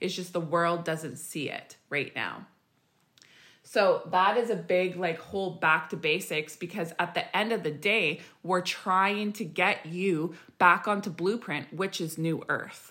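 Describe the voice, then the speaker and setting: A woman speaks in a normal speaking voice at a fairly low pitch. Her pace is fairly slow and her intonation fairly even. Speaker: spiritual healer and podcast host. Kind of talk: casual chat about spirituality.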